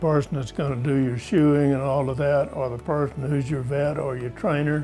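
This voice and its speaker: Music plays behind a man whose fairly high voice holds a monotone, flat intonation at a moderate pace. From rural America. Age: 80s+. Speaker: horseman and retired professor. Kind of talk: interview. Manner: conversational, some hesitations.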